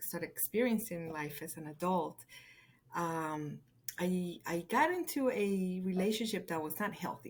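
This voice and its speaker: With a Spanish accent, a woman speaks at a fairly slow pace, her medium pitch showing ordinary variation, in a very clean recording with a silent background. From Colombia. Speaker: podcast guest. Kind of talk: casual interview.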